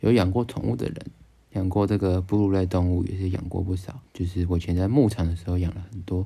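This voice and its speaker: At a fairly quick pace, a man with a Taiwanese accent speaks in a very deep, low voice with a dark, mellow tone. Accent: Taiwanese Mandarin. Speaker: podcast co-host. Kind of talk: casual chat.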